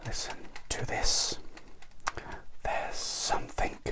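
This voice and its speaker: A whispering man in a calm tone over noticeable background noise. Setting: studio. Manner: soft-spoken, slow, calm.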